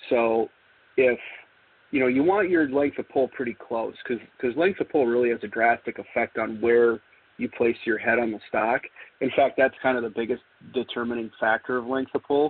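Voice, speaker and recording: Medium in pitch, a man speaks at a moderate pace with ordinary pitch variation. He has a normal speaking voice. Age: 40s. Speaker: gunsmith. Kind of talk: interview conversation.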